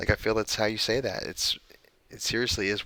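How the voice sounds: What we hear is a natural reading voice.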